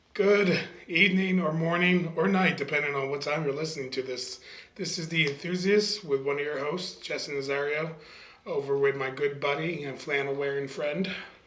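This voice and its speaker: Talking at a moderate pace with ordinary pitch variation, a man with a fairly high voice comes through noticeable background noise and audible room echo. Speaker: podcast co-host. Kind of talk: casual chat.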